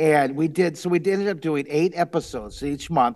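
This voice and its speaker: The pitch of this man's voice varies in an ordinary way. He keeps a moderate pace. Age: 60s. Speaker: artist and children's drawing TV host; children's drawing TV host. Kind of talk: interview. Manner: animated. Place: home room. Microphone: headset.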